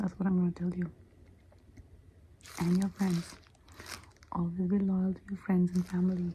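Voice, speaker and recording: A soft-spoken woman talks with a dark, mellow tone. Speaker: ASMR roleplay creator. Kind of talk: ASMR roleplay, spiritual guide giving scalp massage.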